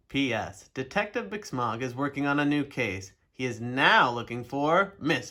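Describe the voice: The clip is plain reading aloud, and its pitch shows ordinary variation.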